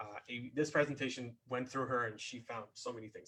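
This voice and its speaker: A man's medium-pitched voice in a flat monotone. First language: not English. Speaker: composer and grant writing presenter. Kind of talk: webinar presentation. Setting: online webinar. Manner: halting, many fillers and repetitions.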